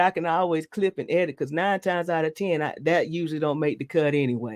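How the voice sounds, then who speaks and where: A woman with a Southern US accent, fairly low-pitched and dark, mellow in tone, at a fairly quick pace. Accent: Southern US (Georgia). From Georgia, US South. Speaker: truck driver and podcast host. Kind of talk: casual chat. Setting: live stream.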